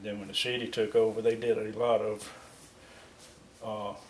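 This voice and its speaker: Noticeable background noise surrounds a man with a Southern US accent. He talks at a medium pitch and a fairly slow pace. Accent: Southern American. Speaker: retired water utility worker. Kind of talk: interview answer.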